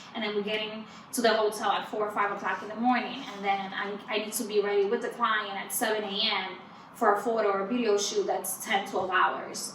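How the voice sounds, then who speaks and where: With a Spanish accent, a woman speaks fairly quickly at a medium pitch and in monotone, flat intonation, amid noticeable background noise and audible room echo. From Dominican Republic. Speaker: PR firm owner and entrepreneur. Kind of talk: podcast interview.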